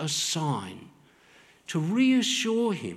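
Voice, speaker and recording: This man speaks with an Australian accent. His voice sits high in pitch. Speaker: preacher. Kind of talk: sermon. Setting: church.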